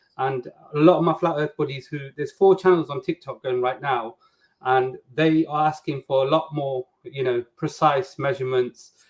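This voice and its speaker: A man with a fairly high pitch speaks at a moderate pace, his somewhat breathy voice holding a fairly even intonation. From England, Nottingham. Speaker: flat earth debater, contestant. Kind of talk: video call introduction.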